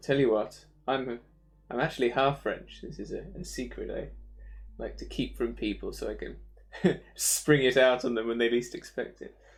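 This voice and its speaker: A man with an English accent at a moderate pace, his loudness swinging widely. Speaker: 3D animator streaming. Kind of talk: casual live stream chat. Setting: live online stream. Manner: hesitant, with fillers.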